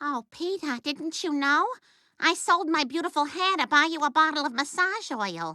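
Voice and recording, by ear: In a cartoonish character voice, a female-sounding speaker uses a high pitch on a very clean recording with a silent background. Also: moderate pace.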